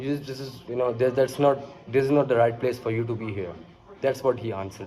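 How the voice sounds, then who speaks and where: A man with a Pakistani accent at medium pitch, very fast pace, fairly even intonation and big swings in loudness. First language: Urdu. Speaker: vlogger. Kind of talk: casual monologue. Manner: halting, many fillers.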